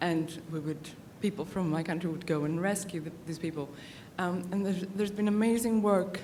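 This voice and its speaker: The woman here talks at a fairly quick pace. Room echo can be heard. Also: medium pitch for a woman. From Greece. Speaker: conference audience member. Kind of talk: audience question at conference. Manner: hesitant, many fillers.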